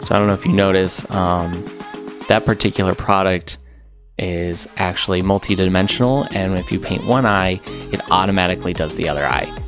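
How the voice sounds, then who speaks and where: Over background music, a man with a very deep, low voice talks at a fairly quick pace. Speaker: husband narrating his wife's makeup video. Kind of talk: comedic voiceover narration, casual and humorous. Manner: deadpan, sarcastic, improvised.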